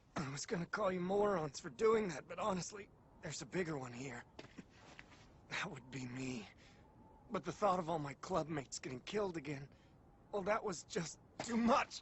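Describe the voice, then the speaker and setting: At a moderate pace, a man uses a raspy, put-on character voice with a high pitch and lively intonation. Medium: cartoon.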